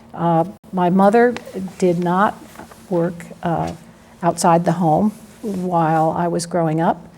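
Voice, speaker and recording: Against noticeable background noise, a woman with a fairly low voice speaks very slowly and fairly evenly, with long, frequent pauses. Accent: American. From US Northeast (Philadelphia, New Jersey). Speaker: lawyer. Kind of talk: oral history interview. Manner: hesitant, many fillers.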